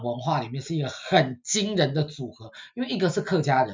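A man's voice with very wide pitch swings. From Taiwan. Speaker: podcast host. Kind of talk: casual chat.

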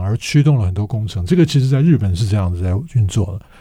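A man with a fairly low pitch and a dark, mellow tone speaks at a fairly quick pace, somewhat breathy, with lively intonation. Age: 60s. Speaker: radio host and professor. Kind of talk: interview podcast.

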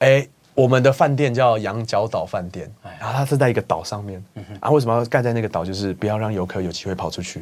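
A man at a very fast pace, with hardly any pauses and big swings in loudness. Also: medium pitch for a man, ordinary pitch variation. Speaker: travel YouTuber. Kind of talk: casual interview.

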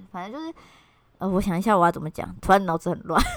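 In a Taiwanese accent, a woman speaks at medium pitch. The recording is very clean, with a silent background. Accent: Taiwanese Mandarin. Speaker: podcast co-host. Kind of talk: casual chat.

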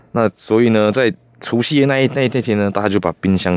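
Noticeable background noise sits under a man whose intonation is lively. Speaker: puppeteer. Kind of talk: radio interview.

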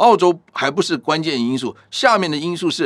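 Vocal fry marks a man's voice on a very clean recording with a silent background. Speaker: professor. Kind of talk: interview.

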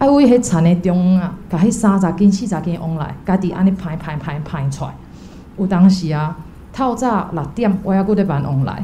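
Over noticeable background noise and audible room echo, a woman talks at a moderate pace. Her voice is medium-pitched with lively intonation. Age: young. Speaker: volunteer. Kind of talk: testimony.

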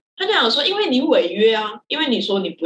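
This woman speaks with a Malaysian accent. Her intonation is lively. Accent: Malaysian-accented Mandarin. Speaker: theatre director. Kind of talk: casual chat.

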